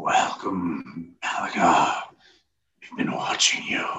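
A man's raspy, put-on character voice at a very slow pace, with a slight echo. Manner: eerie, ominous.

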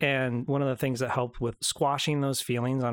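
A man's ordinary speaking voice at medium pitch and moderate pace, in a very clean recording with a silent background. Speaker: co-host and announcer. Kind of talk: casual chat.

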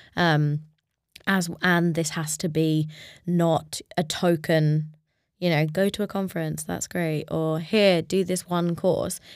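A woman with a London accent, fairly low pitch, monotone, flat intonation and a very slow pace, on a very clean recording with a silent background. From London, England. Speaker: startup co-founder. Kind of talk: casual interview. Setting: studio, in person.

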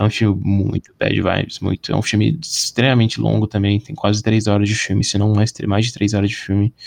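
A man's unremarkable speaking voice, fairly low in pitch, at a fairly quick pace with hardly any pauses, fairly even intonation, and a dry, close sound with no echo. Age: 20s. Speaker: podcast guest, film enthusiast. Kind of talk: casual chat.

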